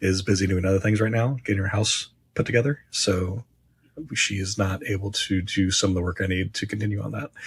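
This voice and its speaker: Somewhat breathy, the speaker talks at a fairly quick pace in an American accent. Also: man. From Indiana, Henry County. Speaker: podcast host. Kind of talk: casual chat.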